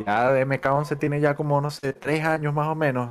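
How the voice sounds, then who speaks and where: A man speaks with a Zulian accent. The recording is very clean, with a silent background. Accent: Venezuelan (Zulian) Spanish. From Venezuela, Maracaibo. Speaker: fighting game caster and player. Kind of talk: casual chat.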